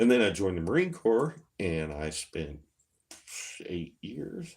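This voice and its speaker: The voice is a man's and somewhat breathy. He has an American accent. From eastern Kentucky and rural Indiana. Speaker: streamer and crafter, Marine veteran. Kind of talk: casual livestream chat.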